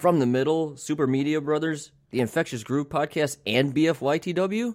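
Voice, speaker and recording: With an ordinary speaking voice, a man at a fairly high pitch talks at a moderate pace with ordinary pitch variation on a very clean recording with a silent background. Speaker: team captain, podcast co-host. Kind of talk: casual comedic banter.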